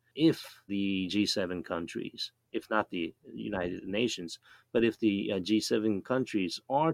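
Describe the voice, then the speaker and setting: On a very clean recording with a silent background and a dry, close sound with no echo, a man with a Japanese accent speaks at a fairly slow pace, fairly low in pitch with ordinary pitch variation. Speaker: professor. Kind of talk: panel discussion.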